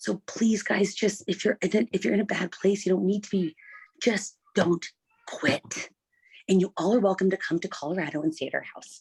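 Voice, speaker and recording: Whispering at a moderate pace, with a dry, close sound and no echo. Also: woman. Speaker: network marketing team member. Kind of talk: testimony. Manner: normally loud.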